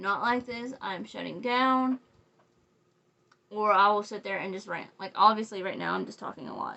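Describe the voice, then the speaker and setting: At a moderate pace, a woman speaks at medium pitch with ordinary pitch variation. Her loudness swings widely, and she leaves long, frequent pauses. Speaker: crochet designer and makeup vlogger. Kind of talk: casual makeup tutorial chat. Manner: rambling, talkative.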